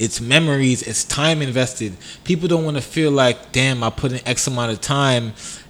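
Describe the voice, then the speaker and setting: A man talks in a New York accent at a fairly quick pace. His intonation stays fairly even. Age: 20s. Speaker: podcast co-host. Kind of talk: casual chat.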